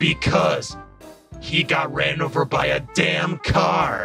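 With clear music playing in the background, a man uses a raspy, cartoonish character voice and speaks at a very slow pace.

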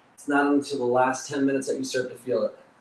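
A man speaks at a fairly high pitch in a flat monotone. Audible room echo and light background noise surround him. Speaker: fitness coach. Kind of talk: live workout instruction. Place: gym.

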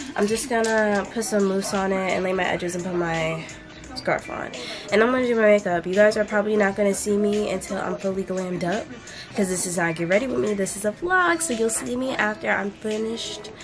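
Clear music plays in the background as a woman talks at a very fast pace. Her pitch varies in an ordinary way. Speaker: vlogger. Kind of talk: casual vlog chat. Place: home room. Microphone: phone near.

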